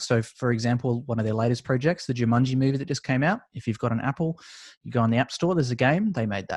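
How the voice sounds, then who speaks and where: A man talks in a medium pitch with an Australian accent. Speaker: esports business owner. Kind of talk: interview. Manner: casual, filler-heavy.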